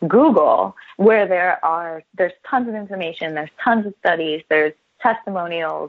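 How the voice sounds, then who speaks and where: An ordinary speaking voice with an American accent shows ordinary pitch variation. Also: woman. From New Jersey. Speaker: chiropractor. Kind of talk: interview. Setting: radio show.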